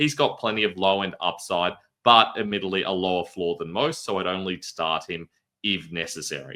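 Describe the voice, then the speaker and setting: A man's very deep, low voice with a bright, sharp tone, ordinary pitch variation and a moderate pace. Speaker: fantasy football analyst. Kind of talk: scripted analysis video.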